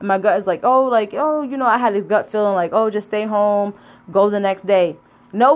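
This woman has an unremarkable speaking voice at a medium pitch. She speaks at a moderate pace. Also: ordinary pitch variation. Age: 30s. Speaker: podcast host. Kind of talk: casual monologue. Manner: casual, with frequent fillers.

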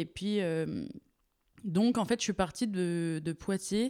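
A woman at medium pitch, very slow pace, dark, mellow tone, ordinary pitch variation, very clean recording with a silent background. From Paris region, France. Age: 20s. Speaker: art student. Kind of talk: casual chat. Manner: halting.

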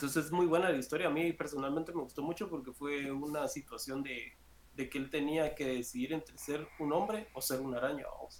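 The pace is fairly quick, with ordinary pitch variation. Noticeable background noise can be heard. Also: man, fairly high pitch for a man. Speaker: pop culture streamer. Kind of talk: casual chat.

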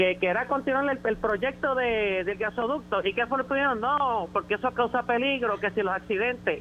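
A man's raised, projected voice, bright and sharp in tone, high in pitch with ordinary pitch variation, at a moderate pace. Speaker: caller. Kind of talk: call-in opinion. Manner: halting, repeats words.

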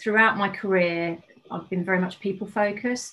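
A woman with an unremarkable speaking voice, medium in pitch, at a moderate pace with fairly even intonation. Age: 50s. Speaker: life coach and yoga teacher. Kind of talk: casual chat.

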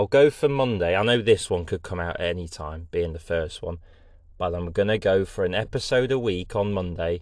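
Moderately paced male speech with an East Midlands accent and ordinary pitch variation, over a quiet background. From England, Lincoln (East Midlands). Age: 20s. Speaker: podcast host, engineer. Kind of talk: casual solo monologue. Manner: chatty, with many fillers.

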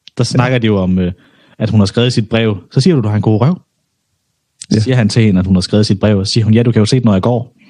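A man's fairly low pitch with a dark, mellow tone, a very fast pace, long, frequent pauses, ordinary pitch variation and very even loudness. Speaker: podcast co-host. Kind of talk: casual banter, podcast chat.

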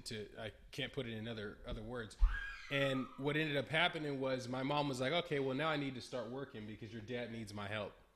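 Noticeable background noise runs under a man who talks at a fairly quick pace with an American accent. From California, Bay Area. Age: 20s. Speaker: entrepreneur. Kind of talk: casual interview.

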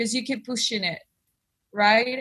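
A woman with a Spanish accent speaks in a fairly high voice. Her tone is bright and sharp, and her pitch varies in an ordinary way. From Argentina, Buenos Aires. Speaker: singer-songwriter. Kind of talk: interview.

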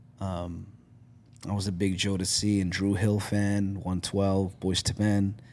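A man speaks at a fairly slow pace with a Toronto accent. His pitch is fairly low. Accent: Canadian English, Toronto. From Canada, Scarborough (Toronto). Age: 40s. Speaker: podcast guest, content creator. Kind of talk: casual chat. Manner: animated.

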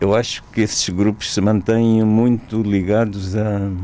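A man speaks very slowly with an Angolan accent. His pitch is fairly low and his intonation fairly even. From Angola, small inland town. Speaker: theatre director and playwright. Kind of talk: interview. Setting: radio studio. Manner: hesitant, frequent repetitions.

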